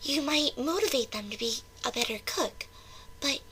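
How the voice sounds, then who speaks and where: A woman's high-pitched, put-on character voice over clear background noise. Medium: read story. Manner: soft, hesitant, self-doubting.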